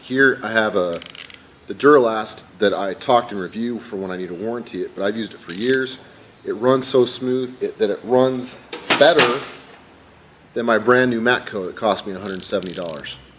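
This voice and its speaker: Big swings in loudness and ordinary pitch variation over noticeable background noise. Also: man, medium pitch for a man. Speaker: professional mechanic reviewing tools. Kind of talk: casual tool review. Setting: at work shop. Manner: fast; hesitant with fillers and restarts.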